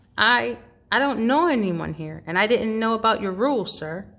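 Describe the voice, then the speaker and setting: A female-sounding, put-on character voice, squeaky and fairly high-pitched, moves at a moderate pace. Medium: read story. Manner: soft, polite.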